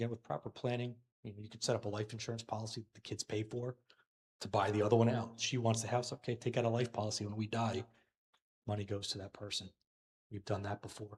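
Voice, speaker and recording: The delivery is very fast, with monotone, flat intonation. The voice is somewhat breathy, and the sound is dry and close with no echo. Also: man, medium pitch for a man. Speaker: financial advisor. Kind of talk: Q&A forum.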